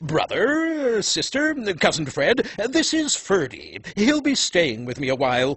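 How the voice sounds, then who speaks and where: A cartoonish character voice is heard. It moves at a fairly slow pace. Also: man, extremely high pitch for a man. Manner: polite, formal.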